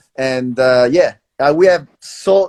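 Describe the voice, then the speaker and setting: This man talks with lively intonation and a strong Italian accent. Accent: Italian, thick. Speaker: traveler. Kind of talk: casual chat.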